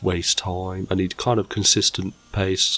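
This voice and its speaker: There is noticeable background noise as a man speaks with a British accent. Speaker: gaming YouTuber. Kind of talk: gameplay commentary.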